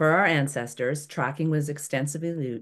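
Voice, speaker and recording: A woman speaks at a moderate pace with a very deep, low pitch. The background is quiet. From Toronto, Canada. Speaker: environmental educator. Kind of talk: online workshop presentation. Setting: video call webinar. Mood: warm, enthusiastic. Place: home room.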